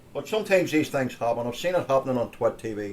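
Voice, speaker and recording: With a Northern Irish accent, a man of medium pitch talks at a fairly quick pace with lively intonation. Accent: Northern Irish (Ulster). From Northern Ireland (Ulster). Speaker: tech show host. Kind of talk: casual tech show talk. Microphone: stream had bad quality.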